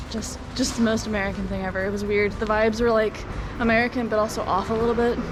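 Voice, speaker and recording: Amid noticeable background noise and audible room echo, a woman with a fairly high pitch speaks very fast in a flat monotone. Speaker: travel vlogger. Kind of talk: casual vlog narration.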